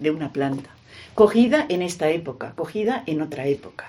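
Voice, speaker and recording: A woman with a dark, mellow tone speaks at a moderate pace, her pitch swinging very widely. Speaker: retired teacher and scholar of a saint. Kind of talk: radio interview. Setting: at her home.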